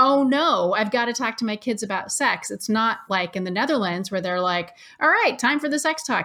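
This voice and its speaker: A woman in an American accent, bright and sharp in tone, with lively intonation. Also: very clean recording, silent background. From US, Oregon. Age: 50s. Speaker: sex educator. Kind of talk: interview.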